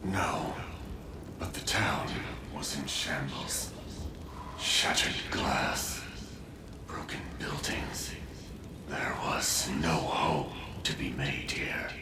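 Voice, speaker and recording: A man whispers in a cartoonish character voice at a very slow pace. Loud background noise fills the clip. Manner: slow, dreamy.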